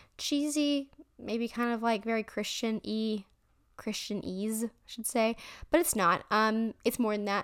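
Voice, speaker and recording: A woman talks in a normal speaking voice, fairly high in pitch with ordinary variation. Her pace is fairly slow, and the recording is very clean with a silent background. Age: young. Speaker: faith podcast host. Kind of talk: casual story time monologue.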